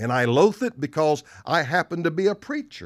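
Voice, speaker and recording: A man with a Southern US accent speaks in an animated tone at a fairly slow pace, his pitch high for a man, on a very clean recording with a silent background. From US South. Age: 60s. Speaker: pastor. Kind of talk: sermon. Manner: emphatic, repeats lines for effect.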